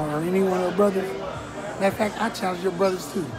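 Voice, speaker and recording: Clear music sits behind a man whose pitch varies in an ordinary way. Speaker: vlogger. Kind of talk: casual vlog chat. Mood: playful. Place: cafe.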